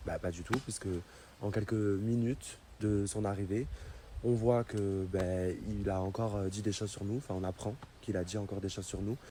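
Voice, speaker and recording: Somewhat breathy, a man speaks at a moderate pace in a fairly low pitch with monotone, flat intonation. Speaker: social media influencer. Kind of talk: direct-to-camera explanation to followers. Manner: hesitant, many fillers.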